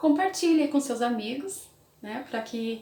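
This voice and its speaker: Speaking with a Brazilian accent, a woman moves at a fairly quick pace. There is noticeable background noise. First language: Portuguese. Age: 30s. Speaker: English teacher and YouTuber. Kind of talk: casual vlog talk.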